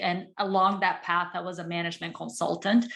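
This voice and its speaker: A woman with a Portuguese accent, a bright, sharp tone and medium pitch, at a moderate pace, in a very clean recording with a silent background. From Brazil. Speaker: psychologist, former management consultant. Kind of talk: panel talk.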